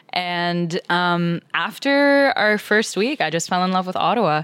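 In a Canadian accent, the speaker uses a plain, everyday voice. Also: woman. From Toronto suburbs, Canada. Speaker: nonprofit community leader. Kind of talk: casual chat.

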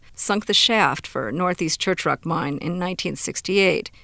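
At a fairly slow pace, a woman speaks with vocal fry in a fairly low pitch with ordinary pitch variation, in a very clean recording with a silent background. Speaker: radio producer reporter. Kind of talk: scripted narration.

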